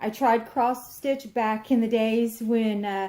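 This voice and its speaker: Speaking with a Texan accent, a woman has a fairly high pitch and a dark, mellow tone. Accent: Texan Southern US. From Texas. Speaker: crafts vlogger. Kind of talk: casual chat.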